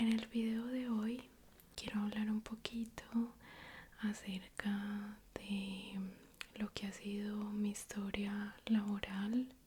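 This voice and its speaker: Soft-spoken and somewhat breathy, a woman talks at a very slow pace and a medium pitch with a dark, mellow, gentle tone, flat monotone intonation and long, frequent pauses. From Colombia. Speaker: ASMR YouTuber. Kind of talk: ASMR story time, casual talk to camera. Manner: soft-spoken, slow, gentle.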